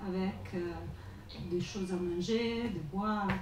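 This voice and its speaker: A woman with an Italian accent at a very slow pace, medium pitch and ordinary pitch variation, amid noticeable background noise and audible room echo. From Italy. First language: Italian (speaking French). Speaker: journalist. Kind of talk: panel talk. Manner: halting, many hesitations.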